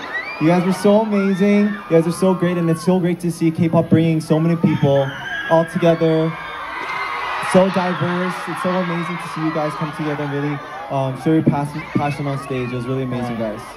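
Loud background noise is present. The speech moves at a fairly quick pace. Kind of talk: stage talk to audience. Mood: excited, a bit nervous. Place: stage.

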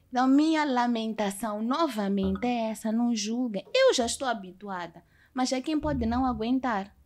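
A woman's fairly high voice, a normal speaking voice, with ordinary pitch variation at a moderate pace. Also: very clean recording, silent background. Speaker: singer, actress and TV presenter. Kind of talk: casual chat.

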